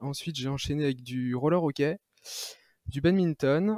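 Dry and close with no echo, the recording is very clean with a silent background and captures a man's dark, mellow tone. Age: 30s. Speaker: ultra-trail runner. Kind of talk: interview.

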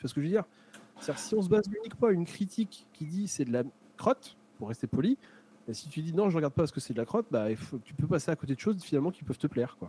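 Speaking very fast, a man swings his pitch very widely, with a dry, close sound and no echo. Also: fairly high pitch for a man. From France, Charente-Maritime. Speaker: streamer. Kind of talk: casual chat. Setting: live stream.

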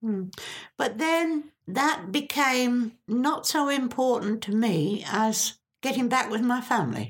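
Very slow speech with lively intonation keeps a very even loudness throughout. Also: woman, high pitch for a woman. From England, Cambridgeshire. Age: 80s+. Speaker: retired factory worker. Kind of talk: life story interview.

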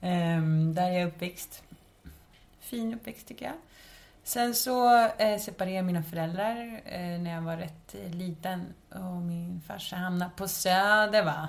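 Ordinary pitch variation marks this somewhat breathy delivery, which unfolds at a fairly slow pace. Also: woman, medium pitch for a woman. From Stockholm suburbs, Sweden. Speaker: podcast host. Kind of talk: casual chat.

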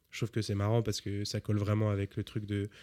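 A fairly low-pitched man speaks in a dry, close sound with no echo. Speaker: music podcast host. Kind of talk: casual chat. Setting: studio.

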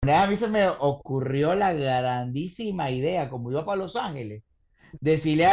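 Speaking with a Venezuelan accent, a man talks at a fairly slow pace. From Venezuela, Caracas. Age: 40s. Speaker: comedian. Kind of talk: casual chat.

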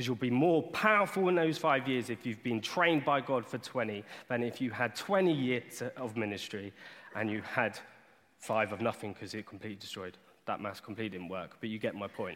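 At a fairly quick pace, a man speaks with lively intonation at a medium pitch. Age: 20s. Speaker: lay preacher. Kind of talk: sermon. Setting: church. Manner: animated.

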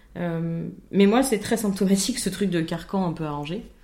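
A woman with a dark, mellow tone speaks fairly slowly with ordinary pitch variation amid audible room echo. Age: 20s. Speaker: podcast co-host. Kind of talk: casual chat.

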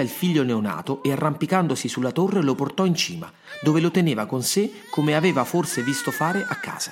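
Noticeable background noise sits behind a man with a fairly high pitch. He speaks at a fairly quick pace with very wide pitch swings. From Rome, Italy. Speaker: writer and podcast narrator, former actor. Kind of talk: scripted storytelling narration.

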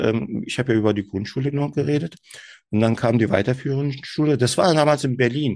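A man talks with a Turkish accent. His pitch varies in an ordinary way over a quiet background. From Germany, Turkish family. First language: Turkish (speaking German). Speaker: SEO manager, podcast guest. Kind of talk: interview, casual chat. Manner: hesitant, many fillers.

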